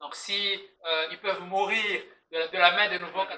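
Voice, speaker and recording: Speaking with a Swahili accent, a man keeps a fairly slow pace and fairly even intonation. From DR Congo, Lubumbashi. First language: Swahili (speaking French). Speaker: podcast guest, diaspora community member. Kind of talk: casual podcast chat. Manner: halting, many hesitations and repetitions.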